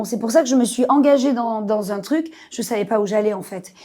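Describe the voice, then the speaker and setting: A woman speaks with a fairly high pitch. Her pace is moderate and her pitch varies in an ordinary way. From Marseille, southern France. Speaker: actress. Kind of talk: podcast interview. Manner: animated.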